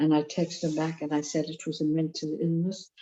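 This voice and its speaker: A woman's very deep, low-pitched voice in a dark, mellow tone, against a quiet background. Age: 70s. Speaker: AA member sharing. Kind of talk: testimony. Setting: video call.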